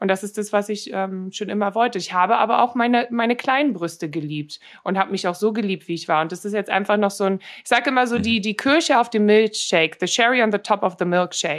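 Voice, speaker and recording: Speaking very fast, a woman uses a medium-pitched voice. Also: ordinary pitch variation. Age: 30s. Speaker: model and influencer. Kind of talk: interview. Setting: remote call.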